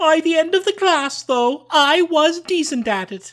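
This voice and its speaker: A man does a put-on character voice at an extremely high pitch and a moderate pace, in a very clean recording with a silent background. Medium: read story.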